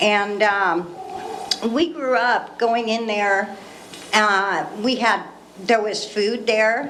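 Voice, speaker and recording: Over noticeable background noise and audible room echo, a woman with a West Coast accent speaks at a very slow pace with long, frequent pauses, a fairly high pitch, and ordinary pitch variation. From Northern California, Ukiah area. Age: 60s. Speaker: member of the public. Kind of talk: public comment.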